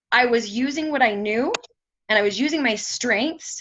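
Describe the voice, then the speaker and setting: A woman speaks loudly at a moderate pace. Her pitch is high, with ordinary variation. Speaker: motivational speaker. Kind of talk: motivational talk.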